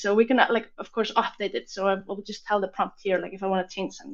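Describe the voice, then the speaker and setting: In an Icelandic accent, a woman talks at a very fast pace with a medium pitch. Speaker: software demo presenter. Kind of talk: live product demo.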